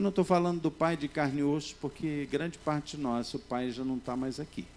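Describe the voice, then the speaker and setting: A plain, everyday voice from a man, fairly high in pitch, with ordinary pitch variation and a fairly quick pace. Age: 60s. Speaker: pastor. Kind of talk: sermon.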